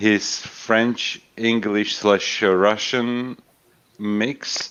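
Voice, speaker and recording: A man's fairly low voice with an Eastern European accent. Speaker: livestream guest. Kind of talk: casual chat. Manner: hesitant, many fillers.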